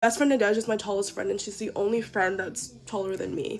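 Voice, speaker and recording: A woman with a normal speaking voice, fairly high in pitch, with ordinary pitch variation, at a fairly quick pace. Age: 20s. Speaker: college student vlogger. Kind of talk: casual get-ready-with-me vlog. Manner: fast, chatty with many fillers.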